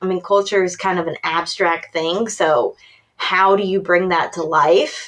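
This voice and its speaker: In a Tennessee accent, a woman speaks at a medium pitch. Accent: Tennessee Southern. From Tennessee, near Nashville. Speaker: workplace consultant. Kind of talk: podcast interview.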